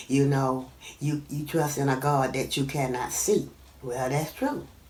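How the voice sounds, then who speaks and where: A woman's very deep, low voice, fairly slow and monotone with flat intonation, over noticeable background noise. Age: 60s. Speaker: retired physician assistant. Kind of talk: interview answer.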